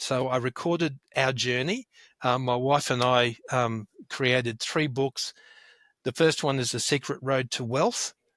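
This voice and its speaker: On a very clean recording with a silent background, a man with an Australian accent speaks at a fairly slow pace, the sound dry and close with no echo. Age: 60s. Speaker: wealth educator and author. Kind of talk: interview.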